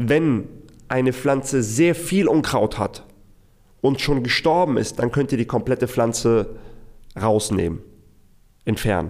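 At a fairly slow pace, a man speaks at a medium pitch with lively intonation. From Hamburg suburbs, Germany (moved from Iraq at six). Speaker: business consultant for freelancers. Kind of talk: solo storytelling monologue. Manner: casual with fillers and repetitions.

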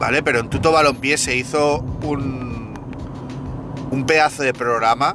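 A man in a Spanish accent speaks fairly slowly with monotone, flat intonation amid noticeable background noise. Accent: Peninsular Spanish. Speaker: podcast host, gaming commentator. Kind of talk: angry rant, indignant monologue at a game company. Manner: heated, indignant, emphatic, repeating phrases; exasperated, swearing, venting.

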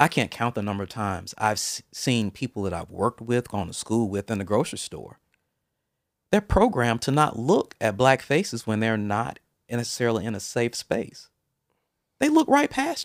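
In an ordinary speaking voice, a man with an American accent talks at a moderate pace with ordinary pitch variation and big swings in loudness. The sound is dry and close, with no echo. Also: medium pitch for a man, very clean recording, silent background. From US South, Mobile, Alabama. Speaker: interview guest. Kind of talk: casual interview.

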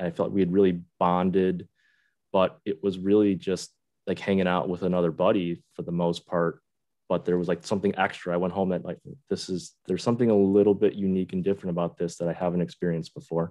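A man with an American accent speaks very fast in a very deep, low pitch. His intonation stays fairly even. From Buffalo, New York. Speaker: Korean adoptee sharing life story. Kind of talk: interview conversation. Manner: halting, with repeated words.

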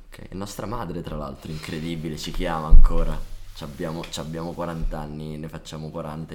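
A man with a strong Neapolitan accent talks in a very deep, low voice with monotone, flat intonation. Noticeable background noise runs behind him. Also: big swings in loudness. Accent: marked Neapolitan, deliberately kept. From Naples, raised in Brescia area. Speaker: guest musician, drummer. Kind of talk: casual chat.

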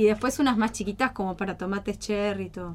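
A woman with a plain, everyday voice, fairly high pitch and ordinary pitch variation. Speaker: eco-friendly small business owner. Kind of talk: radio interview.

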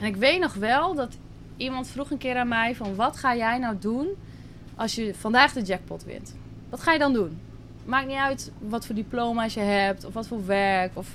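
A woman with a plain, everyday voice talks at a moderate pace, her fairly high pitch showing ordinary pitch variation. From Netherlands, Drenthe. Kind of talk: casual interview.

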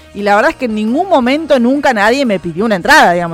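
Lively intonation from a female speaker, with noticeable noise in the background. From Argentina. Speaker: radio music show co-host. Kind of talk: casual radio chat about an album.

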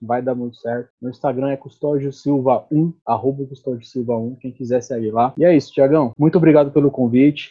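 Here a man speaks in a plain, everyday voice at medium pitch with fairly even intonation. He goes at a fairly quick pace with hardly any pauses. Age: 30s. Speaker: guest discussing baldness. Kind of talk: casual chat.

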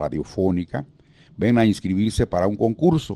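A man speaks in a dark, mellow tone with a Guatemalan accent. The sound is dry and close, with no echo. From Guatemala (Guatemala City). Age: 70s. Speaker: veteran radio announcer and actor. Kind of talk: interview reminiscence. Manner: halting.

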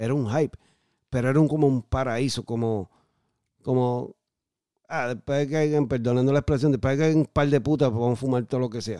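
A man's dark, mellow, medium-pitched voice at a fairly quick pace, with ordinary pitch variation, long, frequent pauses, and a dry, close sound with no echo. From southern Puerto Rico. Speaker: former drug addict guest. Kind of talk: testimony. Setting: studio.

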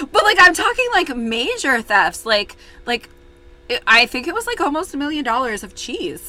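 Over noticeable background noise, a woman with a high pitch speaks with very wide pitch swings and big swings in loudness. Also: moderate pace. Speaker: true crime podcast co-host. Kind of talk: casual chat with case narration. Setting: remote recording, co-hosts apart. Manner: halting, repeats words.

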